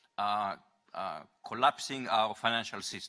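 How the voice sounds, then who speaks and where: Bright and sharp in tone, a man's voice carries a non-native accent. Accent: foreign. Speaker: audience member asking question. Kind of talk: audience question.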